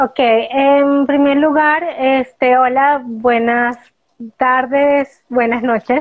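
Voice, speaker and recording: A woman speaks with a high pitch at a very slow pace. Her intonation is monotone and flat, and her loudness stays very even. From Venezuela, Caracas. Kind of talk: interview.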